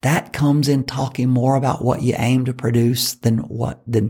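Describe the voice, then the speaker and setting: At a moderate pace, a man speaks with a medium pitch and fairly even intonation. His tone is dark and mellow, with vocal fry. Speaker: podcast host and fundraising coach. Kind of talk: motivational monologue. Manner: passionate, sometimes raises voice.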